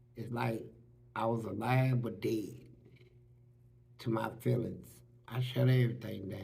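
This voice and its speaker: A man talks with vocal fry at a fairly slow pace, leaving long, frequent pauses. Room echo is audible. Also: medium pitch for a man. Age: 60s. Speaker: former prisoner. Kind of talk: interview testimony. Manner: animated.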